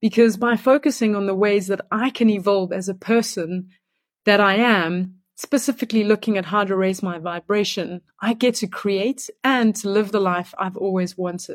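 This woman has a South African accent and a medium pitch, speaking at a moderate pace with fairly even intonation. The recording is very clean and dry, close with no echo, over a silent background. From Johannesburg, South Africa. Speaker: energy coach. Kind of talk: short self-introduction and answer, recorded message.

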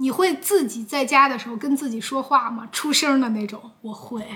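Raised and projected, a woman's high voice moves at a moderate pace with ordinary pitch variation. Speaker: YouTuber podcaster. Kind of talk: casual solo podcast answering viewer questions. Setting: recorded with a camera at home. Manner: hesitant, with many fillers. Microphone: camera audio, no microphone.

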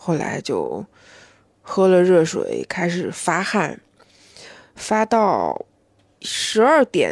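A woman talks at a very slow pace. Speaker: podcast host. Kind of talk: casual solo monologue.

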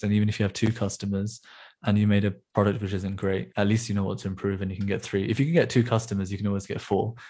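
Somewhat breathy and very fast, a man with a fairly low pitch keeps his intonation fairly even on a very clean recording with a silent background. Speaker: startup founder, software developer. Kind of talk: casual chat.

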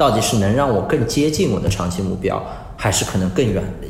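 Amid audible room echo and noticeable background noise, a man speaks at a fairly low pitch with very wide pitch swings. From China, Suzhou (Jiangsu). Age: 30s. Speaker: crypto asset firm CEO. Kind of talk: interview. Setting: remote online call. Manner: halting with fillers.

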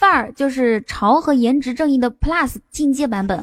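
A woman's high-pitched, animated voice with ordinary pitch variation, music playing in the background. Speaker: livestream host. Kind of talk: casual chat. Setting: live stream.

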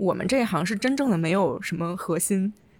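With a somewhat breathy tone, a woman's words come at a fairly quick clip. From China. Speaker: podcast host, urban designer. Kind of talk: casual chat.

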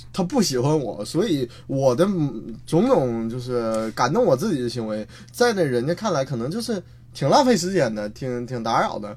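A man with a medium-pitched, somewhat breathy voice speaks at a moderate pace with lively intonation. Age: 20s. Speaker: stand-up comedian. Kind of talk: casual chat.

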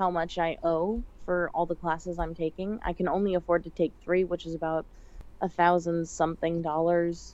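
A woman with an American accent talks at a fairly low pitch. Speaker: college student. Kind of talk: casual chat.

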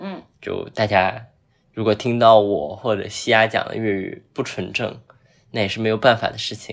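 A man with an ordinary speaking voice and a medium pitch talks at a fairly slow pace. His intonation is fairly even, but his loudness makes big swings. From Zhuhai, Guangdong. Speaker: podcast host. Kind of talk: casual chat.

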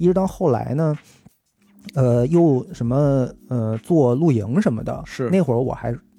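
A man's unremarkable speaking voice, medium in pitch, with lively intonation and a fairly slow pace. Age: middle-aged. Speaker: podcast host. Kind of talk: casual chat. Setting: at home.

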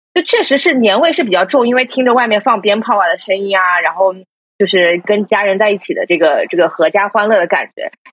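At a very fast pace, a woman talks with medium pitch. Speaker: podcast host. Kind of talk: casual chat, live stream.

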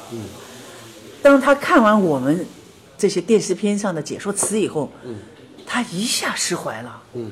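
Over noticeable background noise, a woman talks at a moderate pace. Her pitch swings very widely. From Shanghai, China. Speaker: documentary filmmaker of ancient villages. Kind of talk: interview.

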